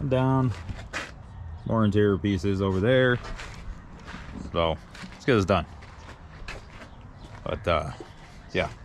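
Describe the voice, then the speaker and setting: Through noticeable background noise, a man with a fairly low pitch speaks at a fairly slow pace with lively intonation and long, frequent pauses. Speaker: DIY car builder and video creator. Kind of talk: casual workshop vlog narration. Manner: chatty, talkative.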